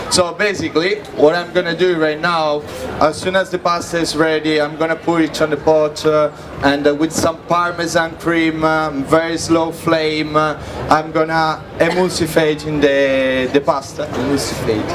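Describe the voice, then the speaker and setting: A man's fairly high voice in an Italian accent, monotone and flat, at a moderate pace, with audible room echo and noticeable background noise. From Italy. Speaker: chef. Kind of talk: live cooking demonstration. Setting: stage with audience at food festival. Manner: halting, searching for English words.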